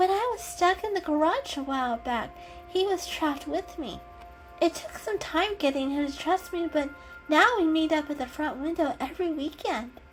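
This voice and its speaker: Over clear background music, a woman does a put-on character voice at an extremely high pitch. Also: moderate pace. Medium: read story. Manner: hesitant, soft.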